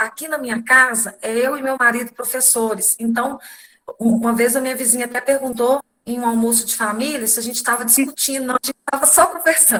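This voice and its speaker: A woman with a high pitch talks at a fairly quick pace with fairly even intonation. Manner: loud, carrying.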